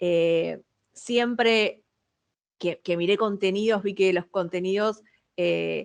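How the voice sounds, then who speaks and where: A woman speaks very slowly in a strong Buenos Aires accent, her pitch medium and her loudness very even. Long, frequent pauses break up her fairly even intonation. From Argentina, Buenos Aires. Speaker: communications professional, webinar speaker. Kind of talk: webinar presentation. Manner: hesitant, frequent repetitions.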